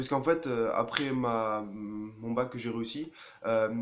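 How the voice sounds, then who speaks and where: A man speaks fairly slowly, his medium-pitched voice carrying fairly even intonation. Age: 20s. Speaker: engineering student. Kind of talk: personal testimony. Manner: halting, many hesitations.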